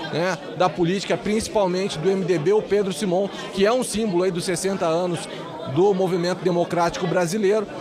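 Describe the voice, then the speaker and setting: Speech comes at a fairly quick pace with fairly even intonation. Noticeable background noise runs underneath. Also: man, high pitch for a man. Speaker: political reporter. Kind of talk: live TV field report. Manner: fluent, unscripted.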